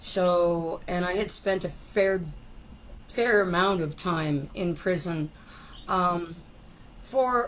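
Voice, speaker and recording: A woman with a Canadian accent at a medium pitch, very slow pace and fairly even intonation. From Canada, Saskatchewan. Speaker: former pro wrestler and musician in recovery. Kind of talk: interview testimony. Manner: talkative.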